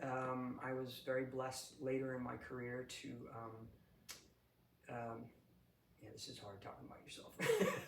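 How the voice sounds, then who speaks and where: Audible room echo surrounds a man speaking in a New England accent. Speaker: executive coach, retired Air Force leader. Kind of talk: interview. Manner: halting, many fillers and repeats.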